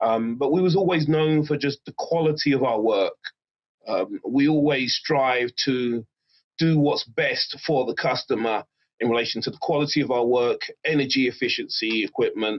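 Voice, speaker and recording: At a moderate pace, a man talks with an English accent. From England. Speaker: HVAC business owner. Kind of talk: interview.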